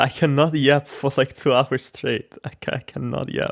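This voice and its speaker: A man speaks in a fairly high voice with vocal fry and a flat, monotone delivery. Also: dry, close sound with no echo. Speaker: gaming YouTuber. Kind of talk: casual gameplay commentary. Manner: hesitant, repeats words; stutters when nervous.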